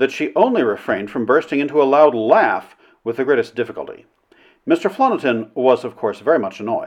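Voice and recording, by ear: The background stays quiet. A speaker reads aloud in a natural voice.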